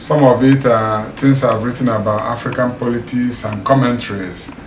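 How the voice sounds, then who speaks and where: Against noticeable background noise and audible room echo, a man talks at a fairly slow pace and medium pitch in a monotone, flat way. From Nigeria. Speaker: community leader and writer. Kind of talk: documentary interview. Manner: halting.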